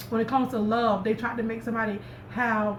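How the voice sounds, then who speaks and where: A woman talks at a fairly quick pace with a fairly high pitch. Audible room echo and noticeable background noise fill the recording. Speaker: tarot reader. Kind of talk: tarot reading. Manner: stuttering, repetitive.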